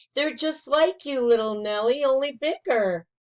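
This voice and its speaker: Put-on character voice from a woman, pitched high, moving at moderate speed. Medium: read story.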